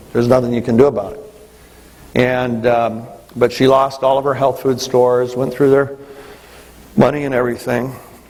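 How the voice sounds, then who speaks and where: Amid noticeable background noise, a man talks at a fairly quick pace with fairly even intonation and long, frequent pauses. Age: 60s. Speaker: business leader giving leadership training. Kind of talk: motivational talk. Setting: stage with audience.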